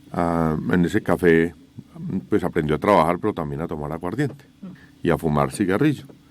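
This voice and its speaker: A man talks in a very deep, low pitch with ordinary pitch variation. Noticeable background noise is heard behind him. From Colombia, Manizales (Caldas). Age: 60s. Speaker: company co-founder, civil engineer. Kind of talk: radio interview.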